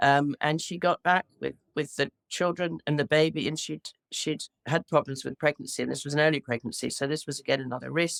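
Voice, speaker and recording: Speaking at a fairly quick pace with an English accent, a woman has a very deep, low pitch and vocal fry, with a dry, close sound and no echo. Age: 60s. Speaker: widow. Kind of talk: interview. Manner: halting.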